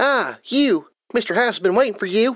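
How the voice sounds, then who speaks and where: The speaker performs in a put-on character voice. The recording is very clean, with a silent background. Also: female-sounding voice. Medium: read story. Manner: irritatingly calm.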